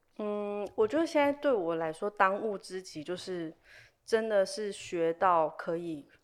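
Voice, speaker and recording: A woman's normal speaking voice at medium pitch, fairly slow, with lively intonation, on a very clean recording with a silent background. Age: young. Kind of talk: casual interview chat.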